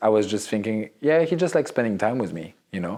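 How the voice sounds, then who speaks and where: In a very clean recording with a silent background, a man with a French accent speaks at a fairly low pitch with lively intonation. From Morocco and Central Africa, French-speaking. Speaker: fashion photographer. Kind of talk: interview. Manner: halting.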